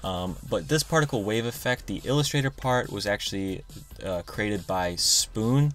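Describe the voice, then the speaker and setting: Lively intonation from a man at a medium pitch. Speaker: graphic design tutorial youtuber. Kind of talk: software tutorial. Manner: fast; casual with filler words.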